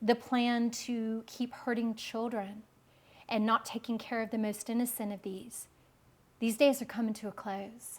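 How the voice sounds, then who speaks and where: A somewhat breathy woman with an American accent speaks fairly slowly at a fairly high pitch, her intonation monotone and flat. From US South, Memphis. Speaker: spiritual speaker. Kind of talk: interview. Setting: filmed studio interview. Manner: halting.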